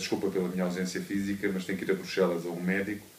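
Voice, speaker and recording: A man speaks at a very deep, low pitch. Room echo can be heard in the recording. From Mozambique, then Portugal from 1974. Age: 40s. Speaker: cancer patient and entrepreneur. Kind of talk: conference talk, personal testimony. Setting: conference hall with audience. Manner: hesitant, many fillers.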